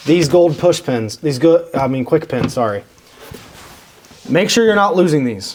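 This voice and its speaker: Fairly high-pitched man's voice with lively intonation at a moderate pace, over noticeable background noise. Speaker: installation technician demonstrating car audio install. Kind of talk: tutorial. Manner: casual, with many self-corrections.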